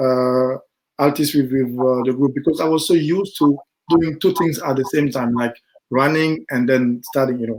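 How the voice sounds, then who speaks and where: This man has a French accent and a fairly high pitch. He talks at a moderate pace with ordinary pitch variation. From Ivory Coast. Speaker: sprinter. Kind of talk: podcast interview. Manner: halting.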